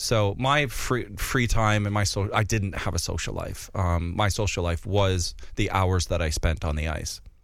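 The speaker has an American accent, ordinary pitch variation and a moderate pace. Hardly any pauses break the speech, and room echo is audible. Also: man, fairly low pitch for a man. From North Dakota, US. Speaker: figure skater and TV dance professional. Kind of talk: casual interview chat. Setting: studio. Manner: animated.

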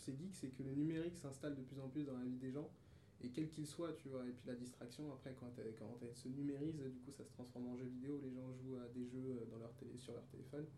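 Somewhat breathy and dark, mellow in tone, a man's medium-pitched voice moves at a fairly quick pace with fairly even intonation and audible room echo. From France, Paris region (Pontoise), childhood years in Cameroon. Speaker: musician. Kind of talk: casual interview.

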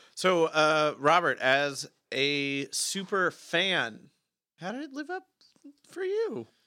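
Speaking at a very slow pace with an American accent, a man uses a high pitch, a bright, sharp tone, lively intonation, and big swings in loudness. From California. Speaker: podcast host. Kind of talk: casual chat.

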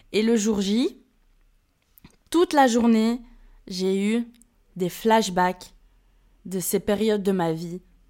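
Over a silent background in a very clean recording, a woman speaks at a medium pitch with ordinary pitch variation. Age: 20s. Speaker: solo podcaster. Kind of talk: personal monologue. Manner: casual; laughs often.

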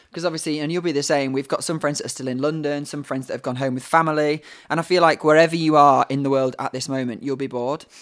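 Speaking with a northern English accent, a man rushes along at a very fast pace with hardly any pauses. His pitch is fairly high and his intonation monotone and flat. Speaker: actor. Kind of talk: casual chat. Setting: video call.

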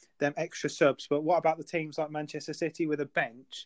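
A man with a normal speaking voice talks at a moderate pace, his pitch fairly high for a man, and the sound is dry and close with no echo. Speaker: football fan, podcast co-host.

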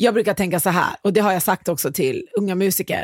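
Recorded with a dry, close sound and no echo, a plain, everyday voice speaks with ordinary pitch variation. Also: woman, very clean recording, silent background. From Iran. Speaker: podcast host, music industry professional. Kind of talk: casual chat.

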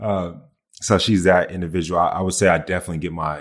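In a very clean recording with a silent background, a man with an American accent talks at a fairly quick pace in a very deep, low, monotone, flat voice. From US South. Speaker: former reality TV contestant. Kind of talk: casual interview.

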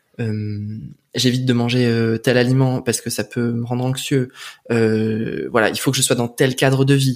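In a medium pitch, a man speaks with flat, monotone intonation. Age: 20s. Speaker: video editor and former stage performer. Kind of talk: casual interview. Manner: hesitant, many fillers.

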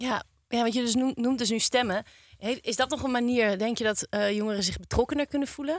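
A woman talks at a fairly quick pace in a high voice with ordinary pitch variation. The sound is dry and close, with no echo. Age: 30s. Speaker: podcast presenter. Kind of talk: podcast conversation. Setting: studio.

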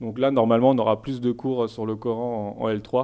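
A man's unremarkable speaking voice, medium-pitched and moderately paced, the intonation fairly even. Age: 30s. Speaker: theology student. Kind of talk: interview.

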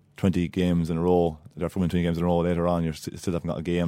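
A man speaks very fast in a very deep, low, dark, mellow voice with an Irish midlands accent. The recording is very clean, with a silent background. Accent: Irish (Laois). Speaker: Gaelic footballer, former Aussie Rules player. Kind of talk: interview.

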